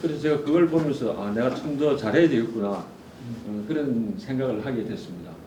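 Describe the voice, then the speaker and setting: Speaking in a Gyeongsang accent with hardly any pauses, a man keeps a moderate pace, medium pitch and lively intonation. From South Korea, Gyeongsang (Ulsan). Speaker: forum speaker, adviser. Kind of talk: conference talk. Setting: stage with audience.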